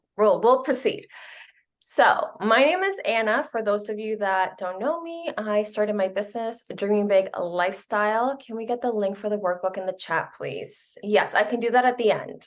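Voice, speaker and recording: Against a quiet background, a woman with a slight Spanish accent talks at a fairly high pitch and a moderate pace, with ordinary pitch variation. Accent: slight Spanish accent on some words. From Canada. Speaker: business coach. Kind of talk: webinar presentation.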